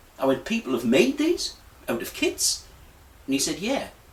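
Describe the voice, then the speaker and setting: A man with very wide pitch swings talks at a moderate pace against noticeable background noise. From northeast England, County Durham. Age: 50s. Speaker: hobbyist model builder. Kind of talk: casual personal story. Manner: hesitant, many ums.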